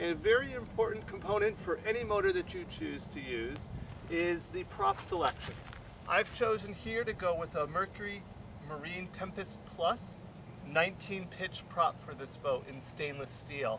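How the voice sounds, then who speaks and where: With noticeable background noise, a man speaks at a moderate pace in a dry sound with no echo. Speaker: fishing guide. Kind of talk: tutorial. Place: open country.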